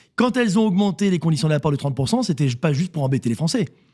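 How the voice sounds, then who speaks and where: A man's very fast, lively speech, fairly high in pitch with a dark, mellow tone, in a very clean recording with a silent background. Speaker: CEO of a real estate agency network. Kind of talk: radio interview.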